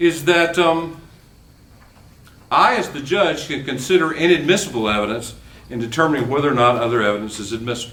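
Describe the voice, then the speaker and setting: Audible room echo surrounds a man who speaks at a fairly quick pace with lively intonation. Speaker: law professor. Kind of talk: lecture. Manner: fast.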